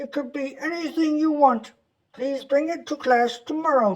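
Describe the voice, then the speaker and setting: A man uses a put-on character voice, pitched extremely high, and talks at a moderate pace. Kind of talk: children's book read-along. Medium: read story. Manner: kind, patient.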